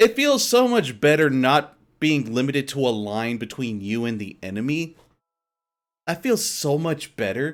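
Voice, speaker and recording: A man talks at a moderate pace with a fairly high pitch. His voice makes very wide pitch swings. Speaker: video game streamer. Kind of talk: casual stream commentary.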